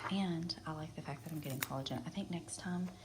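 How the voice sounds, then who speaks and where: A woman talks at a fairly quick pace with ordinary pitch variation, and the room echo is audible. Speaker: wellness vlogger. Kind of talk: casual vlog. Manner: soft-spoken; casual, rambling.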